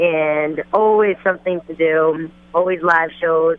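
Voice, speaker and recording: A woman with a New Jersey accent and monotone, flat intonation. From New Jersey, Passaic County. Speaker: rapper and singer. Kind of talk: phone interview. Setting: phone call, outdoors at fashion event.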